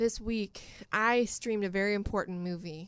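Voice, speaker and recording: Against a quiet background, a woman has a plain, everyday voice at a medium pitch and a moderate pace. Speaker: podcast co-host. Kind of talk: casual chat.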